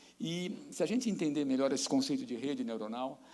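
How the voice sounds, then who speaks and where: The room adds audible echo to the recording. A man's speech proceeds at a moderate pace. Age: 60s. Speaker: professor. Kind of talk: lecture.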